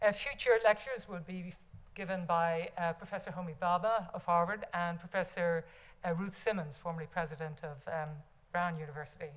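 This voice is somewhat breathy, with ordinary pitch variation. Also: woman, fairly low pitch for a woman, fairly quick pace. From Ireland. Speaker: university head. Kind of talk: formal introduction. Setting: stage with audience. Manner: formal. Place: hall. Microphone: podium.

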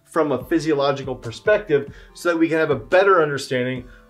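Faint background music behind a man speaking at a moderate pace. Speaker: strength coach. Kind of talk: lecture. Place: office.

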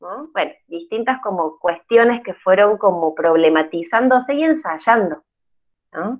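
A woman speaks at a fairly slow pace, her pitch swinging very widely. Her loudness swings a lot too, over a quiet background. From Argentina. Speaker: psychologist, educational counselor; presenter. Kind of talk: online workshop talk. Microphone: video call.

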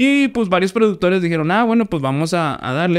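In a Mexican accent, a man talks at a very fast pace with a high pitch, very wide pitch swings and an animated tone against a quiet background. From Mexico. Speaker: podcast host. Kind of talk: casual chat. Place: studio. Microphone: studio mic.

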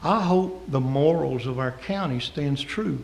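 Lively intonation marks a man with a Southern US accent, heard with audible room echo and noticeable background noise. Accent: Southern US (Georgia). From US South, Georgia. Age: 60s. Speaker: pastor. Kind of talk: public comment at city council meeting. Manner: impassioned, preacherly.

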